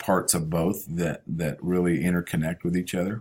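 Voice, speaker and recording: A man with a very deep, low voice uses fairly even intonation at a moderate pace, captured in a very clean recording with a silent background. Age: 60s. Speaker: high school teacher. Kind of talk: recorded class self-introduction. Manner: hesitant, many fillers; relaxed.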